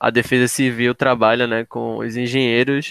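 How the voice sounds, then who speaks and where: A man's medium-pitched, flat, monotone voice at a fairly slow pace, dry and close with no echo, on a very clean recording with a silent background. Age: 20s. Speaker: geography student. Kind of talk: educational podcast conversation.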